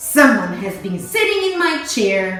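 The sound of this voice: A woman's put-on character voice at a fairly slow pace, with clear echo and faint music in the background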